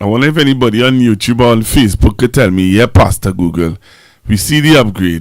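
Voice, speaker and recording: A man speaks at a medium pitch and a fairly quick pace, his intonation lively. The recording is very clean, with a silent background. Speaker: pastor hosting a live stream. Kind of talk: live stream chat with viewers. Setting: live stream. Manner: loud.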